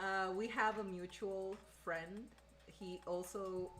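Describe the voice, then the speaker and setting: Music can be heard behind the speaker. She is a woman talking at a medium pitch. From northern Mexico. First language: Spanish. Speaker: streamer and content creator. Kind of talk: casual chat on a cooking livestream. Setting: home kitchen livestream. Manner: animated.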